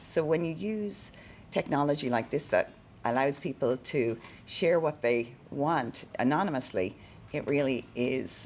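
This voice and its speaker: With an Irish accent, a woman speaks at a fairly slow pace in a very deep, low pitch with lively intonation. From Ireland. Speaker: keynote speaker on neuro-inclusion. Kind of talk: presentation to a live audience. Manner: halting with many fillers and repetitions.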